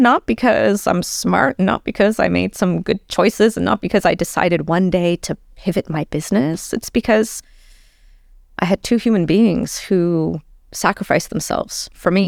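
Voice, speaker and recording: A woman with a Canadian accent speaks with lively intonation and vocal fry. The sound is dry and close with no echo, on a very clean recording with a silent background. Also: medium pitch for a woman, moderate pace. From Toronto, Canada (born in Tehran, Iran). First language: Persian. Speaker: guest sharing life story. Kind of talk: casual interview.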